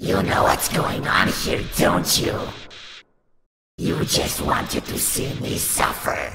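A man uses a raspy put-on character voice with a very deep, low pitch, speaking at a fairly slow pace with long, frequent pauses and an audible echo. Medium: dub. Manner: menacing, sneering.

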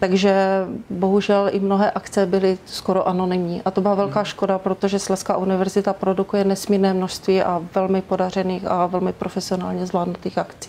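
A woman's very fast, monotone delivery with flat intonation, over light background noise. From Czechia, Ostrava (Moravian-Silesian region); Moravian-Silesian region, Czechia. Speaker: university press spokesperson. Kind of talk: interview. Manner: formal. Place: studio. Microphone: lapel.

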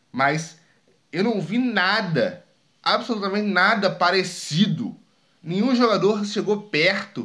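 In a bright, sharp tone, a man speaks at a fairly slow pace with lively intonation. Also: quiet background. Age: 20s. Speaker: sports YouTuber. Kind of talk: casual opinion monologue. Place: home room. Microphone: studio mic.

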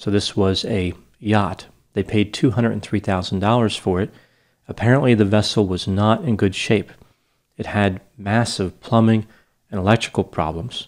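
A man talks at a fairly slow pace with a fairly low pitch. The background is quiet. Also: fairly even intonation. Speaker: psychology educator. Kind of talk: case analysis commentary. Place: studio. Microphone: studio mic.

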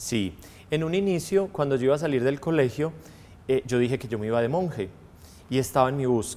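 A man speaks at a fairly quick pace with lively intonation and a dark, mellow tone, leaving long, frequent pauses. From Colombia, Antioquia (Girardota); Antioquia, Colombia. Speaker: priest. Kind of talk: testimony interview. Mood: warm, reflective. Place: studio.

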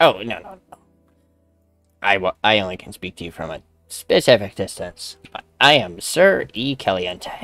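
A man uses a put-on character voice pitched fairly low, with faint music behind him. He speaks fairly slowly, leaving long, frequent pauses.

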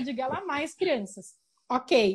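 Against a quiet background, a woman with a high pitch speaks at a very slow pace, her pitch swinging very widely. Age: 30s. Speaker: researcher of matriarchal cultures; interviewee. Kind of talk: interview. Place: home room. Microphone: earbuds.

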